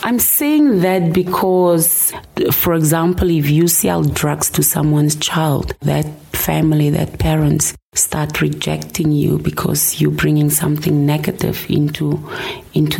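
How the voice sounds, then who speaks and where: A woman takes a fairly slow pace as noticeable noise fills the background. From southern Namibia. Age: 40s. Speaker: pastor. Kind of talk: personal testimony interview. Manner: halting, repeats words.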